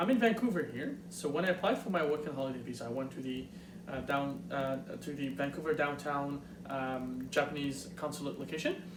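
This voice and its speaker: A man with a Montreal accent talks at a fairly quick pace in a fairly high pitch with lively intonation, amid noticeable background noise and audible room echo. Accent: Montreal French-Canadian. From Quebec, Montreal. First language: French. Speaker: YouTuber. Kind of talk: tutorial. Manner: fast; halting, many fillers.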